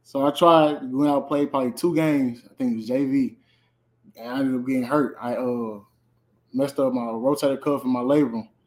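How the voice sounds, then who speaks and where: Speaking at a fairly quick pace with an American accent, a man uses an ordinary speaking voice at medium pitch with fairly even intonation, in a very clean recording with a silent background. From St. Louis, Missouri. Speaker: college football player. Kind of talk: interview.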